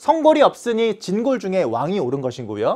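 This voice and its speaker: A man speaks at a high pitch and a moderate pace. The recording is very clean, its background silent. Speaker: history teacher. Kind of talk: lecture.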